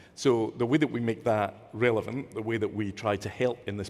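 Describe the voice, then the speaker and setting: Fairly even intonation and a moderate tempo from a man with a mid-range pitch. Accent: Scottish. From Scotland. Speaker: nonprofit leader, panelist. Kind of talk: panel discussion.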